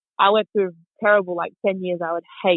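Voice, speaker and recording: A woman's medium-pitched voice in an Australian accent, with monotone, flat intonation. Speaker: motorcycle racer and riding instructor. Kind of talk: podcast interview.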